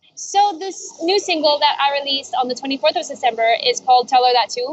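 Noticeable background noise runs through the clip. A woman is speaking. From Spain. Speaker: music producer and artist. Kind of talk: casual chat. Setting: outdoors.

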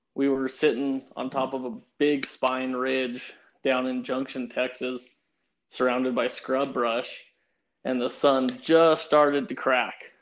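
Speaking very slowly with an American accent, a man holds a medium pitch in a monotone, flat intonation. The background is quiet. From Pueblo, Colorado. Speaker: hunting guide. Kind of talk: casual chat.

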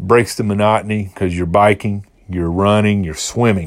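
In a very clean recording with a silent background, a man speaks at a fairly low pitch. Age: 40s. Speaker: health and fitness podcast host. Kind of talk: solo podcast monologue. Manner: hesitant with many fillers.

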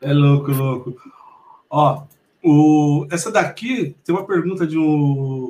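A man's somewhat breathy voice with a dark, mellow tone, fairly high pitch, ordinary pitch variation and a very slow pace. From Mogi das Cruzes, São Paulo state, Brazil. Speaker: podcast host. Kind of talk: casual interview. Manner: animated.

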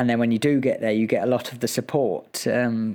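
With a British accent, a man speaks at a medium pitch and keeps his intonation fairly even. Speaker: Olympic athlete. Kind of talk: interview.

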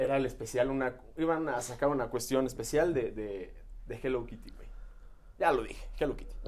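The man talks at a fairly quick pace, his loudness swinging widely. Audible room echo surrounds his voice. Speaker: podcast co-host. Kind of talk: casual chat.

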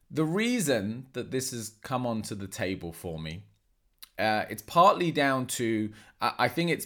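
A man's ordinary speaking voice at medium pitch and moderate pace, with lively intonation, in a very clean recording with a silent background. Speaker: martial arts coach and podcast host. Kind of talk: solo podcast monologue.

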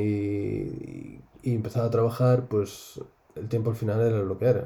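In a Galician accent, a man with a medium pitch and a dark, mellow tone speaks at a fairly slow pace. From Spain, Galicia. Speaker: gamer, host's husband. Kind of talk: casual chat.

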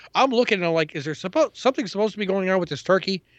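Talking at a very fast pace, a man with a New York accent uses a high pitch and lively intonation, recorded dry and close with no echo against a quiet background. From New York City (Queens). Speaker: comic book podcast co-host. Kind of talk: casual chat.

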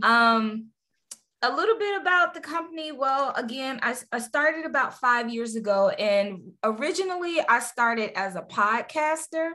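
With a raised, projected voice, a woman speaks at a moderate pace in a high pitch, her bright, sharp tone moving in very wide pitch swings. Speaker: audiobook producer. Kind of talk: casual interview chat. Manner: chatty, long-winded.

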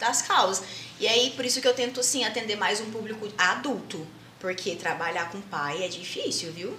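A woman speaks in a fairly high pitch with ordinary pitch variation. Audible room echo and noticeable background noise come through. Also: moderate pace. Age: 20s. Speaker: jiu-jitsu athlete and psychologist. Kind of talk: podcast interview.

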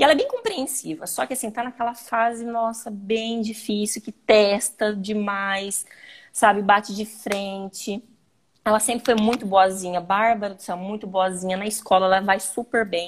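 A woman with an ordinary speaking voice, medium pitch and fairly even intonation, moderate pace, and big swings in loudness. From Brazil, Paraná (Londrina). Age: 30s. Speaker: mother and podcast guest. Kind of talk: casual chat.

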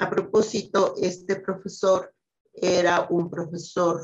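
A woman speaks at a very slow pace, somewhat breathy and fairly low in pitch. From Ecuador, Quito. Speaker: scientist. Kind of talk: interview.

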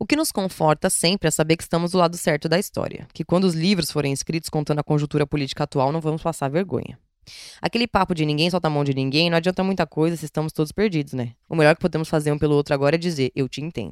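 In a very clean recording with a silent background and a dry, close sound with no echo, a woman with a very deep, low pitch talks at a very fast pace with ordinary pitch variation. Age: 20s. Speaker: podcast host, feminist blogger. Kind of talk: reading aloud a personal essay. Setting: at home in quarantine.

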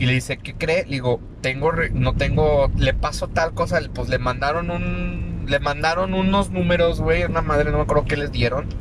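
With a Mexican accent, a man speaks at a moderate pace with hardly any pauses over noticeable background noise. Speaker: podcast host. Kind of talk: casual chat.

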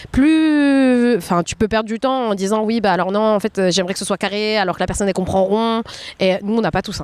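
This woman has a plain, everyday voice with a fairly high pitch. She talks fairly quickly, her pitch varying in an ordinary way. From France. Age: 20s. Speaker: café owner, entrepreneur. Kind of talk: casual interview.

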